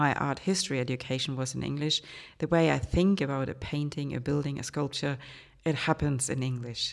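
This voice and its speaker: On a very clean recording with a silent background, a woman with a German accent talks at a fairly quick pace in a very deep, low pitch. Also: fairly even intonation. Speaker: art historian and podcast host. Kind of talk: educational podcast monologue.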